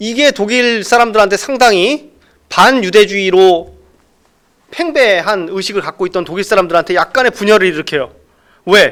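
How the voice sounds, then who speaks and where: A fairly slow pace broken by long, frequent pauses. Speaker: professor. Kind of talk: lecture. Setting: lecture room, online. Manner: conversational, rhetorical questions.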